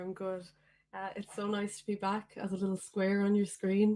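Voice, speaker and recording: The pace here is moderate. The woman has an Irish accent. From Ireland, County Meath. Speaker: singer-songwriter. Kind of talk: casual chat. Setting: video call.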